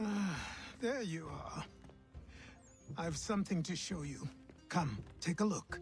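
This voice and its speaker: A man's put-on character voice, raspy and high-pitched, with lively intonation, a fairly slow pace, long and frequent pauses, and clear background noise. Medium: video game. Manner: calm, measured.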